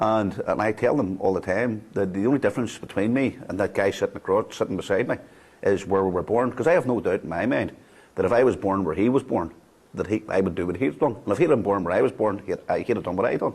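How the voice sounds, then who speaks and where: Over a quiet background, a man with a Belfast accent talks at a very fast pace, his fairly low pitch showing ordinary pitch variation. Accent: Belfast Northern Irish. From Northern Ireland, Belfast (Greater Shankill). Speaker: former loyalist prisoner, ex-combatant peace worker. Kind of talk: documentary interview. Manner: halting, many repetitions.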